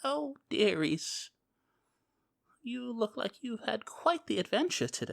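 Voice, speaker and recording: Using a put-on character voice, a female-sounding speaker goes at a fairly slow pace with long, frequent pauses. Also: fairly high pitch for a woman. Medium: actual play. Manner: doting, muddled, stammering.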